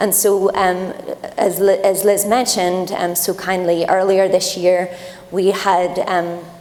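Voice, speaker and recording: Over noticeable background noise and audible room echo, a woman talks at a fairly slow pace in a medium pitch, with monotone, flat intonation and very even loudness. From Ireland. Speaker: tech company program lead on a panel. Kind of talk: panel discussion.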